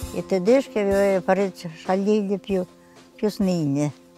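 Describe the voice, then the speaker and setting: A woman talks at a moderate pace in a medium pitch. The sound is dry with no echo, and faint music plays in the background. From Romagna, Italy. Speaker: wartime eyewitness. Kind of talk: interview answer. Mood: vivid, emotional recollection. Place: garden. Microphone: lapel.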